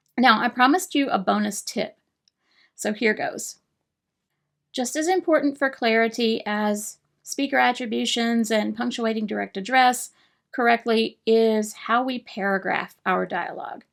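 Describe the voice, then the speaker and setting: The recording is very clean with a silent background. A woman speaks at a moderate pace and fairly high pitch with ordinary pitch variation. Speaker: writing coach. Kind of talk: tutorial.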